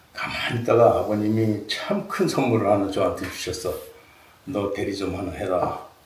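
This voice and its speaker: The voice comes at a moderate pace, with audible room echo and noticeable background noise. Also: man. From Seoul. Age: 70s. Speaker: senior program participant, former athlete. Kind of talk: personal life story talk. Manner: casual, halting with fillers.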